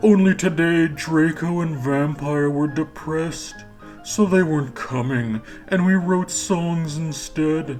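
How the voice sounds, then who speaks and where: The voice sits at a middle pitch and moves at a fairly slow pace, with clear music in the background. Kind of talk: comic mock-earnest reading. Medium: solo performance. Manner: wry, laughing.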